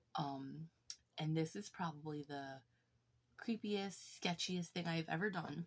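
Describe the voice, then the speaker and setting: A quiet, somewhat breathy woman speaks at a fairly slow pace with ordinary pitch variation. Her speech has long, frequent pauses. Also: fairly low pitch for a woman. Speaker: YouTuber showing her collection. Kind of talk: casual show-and-tell vlog.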